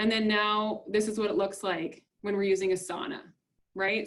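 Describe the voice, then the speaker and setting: This woman has a plain, everyday voice pitched fairly high. She speaks at a moderate pace. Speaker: business webinar presenter. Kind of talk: webinar presentation.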